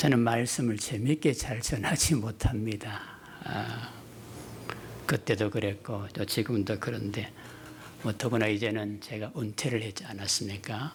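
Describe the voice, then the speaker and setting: A man with an unremarkable speaking voice talks at a fairly slow pace with fairly even intonation. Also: medium pitch for a man. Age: 60s. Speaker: retired pastor, guest preacher. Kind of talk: sermon. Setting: church.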